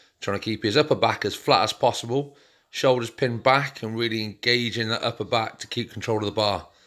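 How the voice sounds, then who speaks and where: A man at a fairly quick pace with fairly even intonation, over a quiet background. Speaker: fitness trainer. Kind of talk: casual vlog chat.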